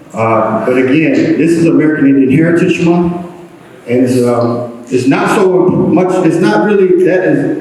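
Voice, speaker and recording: A man with a fairly high pitch speaks fairly slowly with lively intonation and very even loudness. Audible room echo and noticeable background noise fill the recording. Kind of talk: public talk to an audience. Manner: halting, many fillers.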